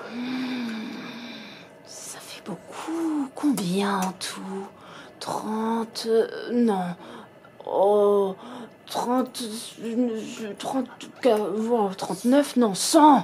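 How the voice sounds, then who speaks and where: A put-on character voice, female-sounding and fairly high in pitch, at a very slow pace with long, frequent pauses over clear background noise. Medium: read story. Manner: sly, greedy.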